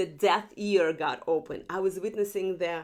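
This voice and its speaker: Woman with a non-native accent and fairly even intonation. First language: not English. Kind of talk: testimony. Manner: halting, self-correcting.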